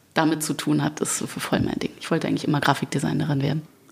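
A woman talks over noticeable background noise. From Germany. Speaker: singer. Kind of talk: interview chat. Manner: animated.

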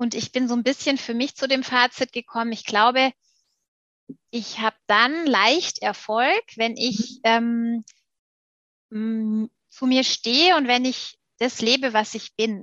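A woman speaks at a high pitch in a bright, sharp tone, very slowly and with long, frequent pauses. Her intonation is fairly even, and the sound is dry and close with no echo. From Stuttgart, southwest Germany. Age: 40s. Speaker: PR agency managing director. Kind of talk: interview conversation.

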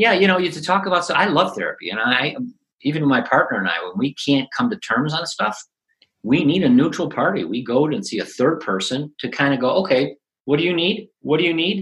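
A man's fairly high voice in a Chicago accent, fairly quick, with very wide pitch swings and vocal fry. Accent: Chicago American. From Chicago South Side. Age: 60s. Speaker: positive psychology coach and author. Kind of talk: interview. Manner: halting.

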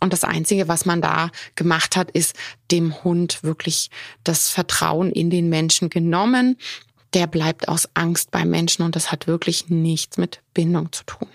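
A woman's ordinary speaking voice, fairly low in pitch, fairly slow and fairly even in intonation, with a dry, close sound and no echo. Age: 40s. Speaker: veterinarian and dog trainer, podcast host. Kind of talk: solo podcast talk. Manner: casual with frequent filler sounds.

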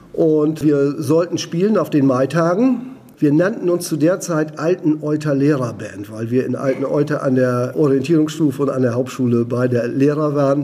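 Against noticeable background noise, a man with a fairly high pitch talks at a moderate pace with ordinary pitch variation and hardly any pauses. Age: 60s. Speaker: retired teacher and rock musician. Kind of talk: interview.

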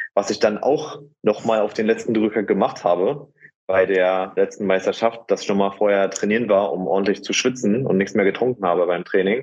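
At a moderate pace, a man speaks in a plain, everyday voice with a fairly low pitch and ordinary pitch variation. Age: 20s. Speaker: natural bodybuilder. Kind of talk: casual chat.

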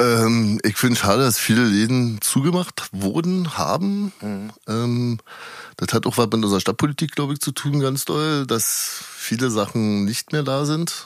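Using an ordinary speaking voice, a man at medium pitch talks fairly slowly with lively intonation. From Berlin, Prenzlauer Berg. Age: 40s. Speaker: nightclub security worker and stage rigger. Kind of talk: interview.

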